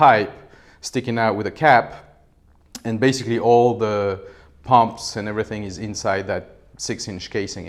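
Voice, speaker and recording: A man with a French accent speaks at a medium pitch. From France. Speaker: professor. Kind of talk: lecture. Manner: hesitant, many fillers.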